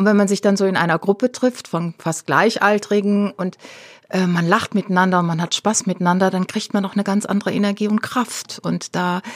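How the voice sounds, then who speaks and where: A normal speaking voice from a woman, medium in pitch, fairly even in intonation and fairly quick in pace, with a dry, close sound and no echo. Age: 60s. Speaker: activist. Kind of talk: interview.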